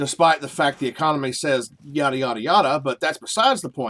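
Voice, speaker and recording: With a Southern US accent, a man talks at a very fast pace. His pitch is fairly high. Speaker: video game streamer. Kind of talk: casual chat. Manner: animated.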